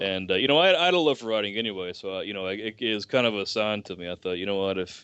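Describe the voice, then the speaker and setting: A man with an American accent, fairly low-pitched, with ordinary pitch variation and a very fast pace. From US South, rural deep Southeast. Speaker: writer. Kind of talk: podcast interview. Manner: halting, many fillers and restarts.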